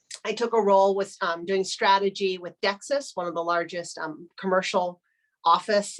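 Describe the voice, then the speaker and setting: A woman with an American accent has a normal speaking voice at a medium pitch. She speaks at a moderate pace with ordinary pitch variation. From United States. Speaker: business strategy executive. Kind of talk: webinar interview. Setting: video webinar.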